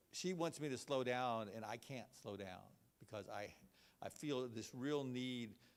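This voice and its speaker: This man has a Texan accent. He talks at a fairly slow pace. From Texas (Belleville, small town). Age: 60s. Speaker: healthcare financing expert. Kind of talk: presentation. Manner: halting, many fillers and repeats.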